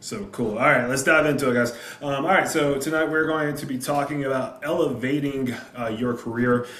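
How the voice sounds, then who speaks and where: The speaker has a Southern US accent and a fairly quick pace. Noticeable background noise and audible room echo are present. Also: man. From South Carolina. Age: 30s. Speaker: high school football coach. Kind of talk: presentation on a video call. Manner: animated.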